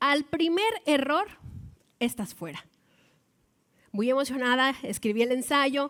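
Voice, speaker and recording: A woman with a northern Mexican accent talks at a high pitch with lively intonation. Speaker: baseball commentator, former sports reporter. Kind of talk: TEDx talk.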